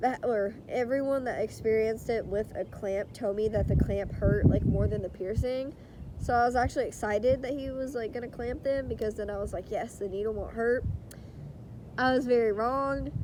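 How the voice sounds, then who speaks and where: Her voice is fairly high for a woman, with fairly even intonation at a moderate pace. Noticeable background noise runs underneath. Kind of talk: casual storytime talk to camera.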